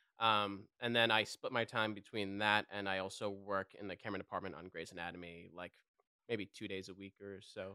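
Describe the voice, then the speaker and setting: A man with a slight New York accent talks at a fairly quick pace in a fairly low pitch, his tone bright and sharp, his loudness swinging widely, and the sound dry and close with no echo. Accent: faint New York. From New York City. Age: 30s. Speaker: guest, partner of a team member. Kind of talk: casual chat. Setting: rental house podcast set. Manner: animated, hammy.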